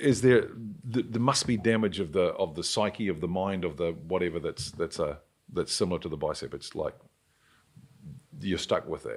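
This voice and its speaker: A man with a New Zealand accent at a moderate pace, with long, frequent pauses. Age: 60s. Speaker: podcast host. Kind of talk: casual chat.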